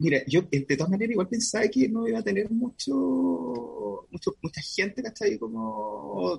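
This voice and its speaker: Speaking with a Chilean accent, a man talks at a fairly slow pace with very wide pitch swings. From Chile, Concepción. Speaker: fashion designer. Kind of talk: casual interview chat.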